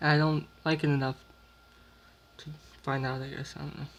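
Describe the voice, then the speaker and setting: A man's fairly high voice at a moderate pace, with monotone, flat intonation. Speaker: YouTuber doing food taste tests. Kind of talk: casual vlog commentary. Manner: dramatic.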